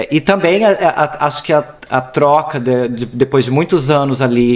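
With an ordinary speaking voice, a man talks fairly slowly at a fairly high pitch with ordinary pitch variation. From Brazil, São Paulo. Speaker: actor and performance artist. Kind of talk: casual interview.

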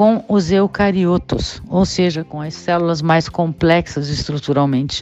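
A woman speaks at a fairly slow pace with ordinary pitch variation. It is a normal speaking voice. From Brazil, São Paulo. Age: 60s. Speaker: biologist and teacher. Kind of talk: recorded voice-message explanation. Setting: prerecorded audio message. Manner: clear, didactic.

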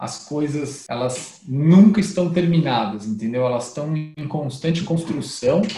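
The speech moves at a fairly slow pace. Room echo is audible and background noise is noticeable. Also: man. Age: 30s. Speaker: startup founder and CEO. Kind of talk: interview, casual business chat.

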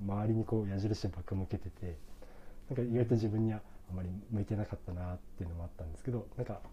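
A man's dark, mellow, somewhat breathy voice, fairly low in pitch, at a very fast pace with fairly even intonation. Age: 30s. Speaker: coffee shop owner. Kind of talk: casual chat.

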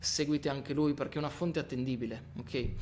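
A man speaks at a very fast pace. His fairly high pitch moves in fairly even intonation. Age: 20s. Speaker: physiotherapist. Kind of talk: interview conversation.

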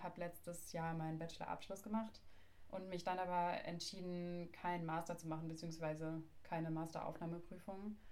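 A woman speaks with monotone, flat intonation at a fairly low pitch. Audible room echo surrounds her voice. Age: 20s. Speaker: podcast host and oboist. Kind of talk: casual chat.

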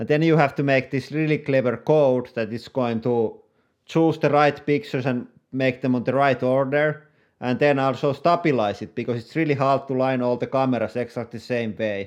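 A man speaks at a moderate pace and medium pitch with a Finnish accent. His pitch variation is ordinary, and the background is quiet. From Finland. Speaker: YouTuber and entrepreneur. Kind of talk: interview.

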